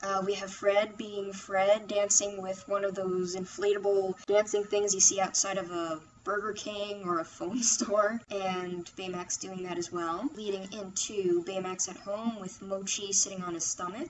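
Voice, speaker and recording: Noticeable background noise accompanies a woman speaking with fairly even intonation. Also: medium pitch for a woman, fairly slow pace, hardly any pauses. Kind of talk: casual review talk to microphone. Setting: computer microphone.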